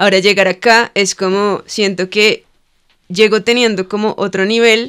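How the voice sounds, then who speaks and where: Against a quiet background, a woman talks at a fairly slow pace in a monotone, flat intonation. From Cali, Colombia; Colombia. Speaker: lettering artist and muralist; podcast guest. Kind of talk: casual interview chat. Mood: relaxed, reflective. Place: studio. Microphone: studio mic.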